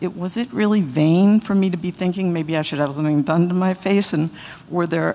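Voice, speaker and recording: In an ordinary speaking voice, a woman with fairly low pitch talks at a fairly quick pace with fairly even intonation. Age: 60s. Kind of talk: testimonial talk to audience.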